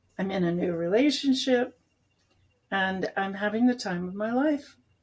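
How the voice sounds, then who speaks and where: Somewhat breathy and medium in pitch, a woman speaks at a moderate pace with ordinary pitch variation. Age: 70s. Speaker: food addiction researcher and author. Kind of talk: interview.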